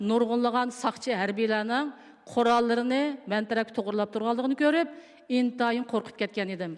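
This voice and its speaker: Talking at a very fast pace, a woman uses a fairly high pitch and fairly even intonation. Background noise is noticeable. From East Turkestan (Xinjiang), Urumqi. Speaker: camp survivor, keynote speaker. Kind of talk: testimony. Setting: international conference with audience.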